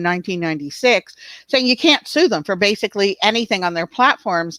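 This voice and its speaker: A woman with a plain, everyday voice speaks at a fairly quick pace in a medium pitch with lively intonation. The recording is very clean, with a silent background and a dry, close sound with no echo. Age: 60s. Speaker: online safety advocate, summit host. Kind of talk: video interview.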